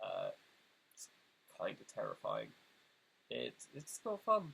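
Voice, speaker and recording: A man speaks with a British accent. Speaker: video essayist. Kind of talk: casual direct-to-camera address. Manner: hesitant, many fillers.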